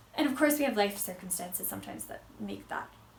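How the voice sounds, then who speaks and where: Amid noticeable background noise and audible room echo, a woman speaks at a fairly high pitch with an American accent. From United States. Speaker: vlogger. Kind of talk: casual vlog talk.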